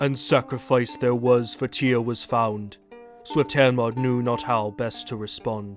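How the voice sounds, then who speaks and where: Faint music plays in the background. A man uses a put-on character voice at a fairly slow pace. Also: medium pitch for a man. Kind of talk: epic verse narration. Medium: read story.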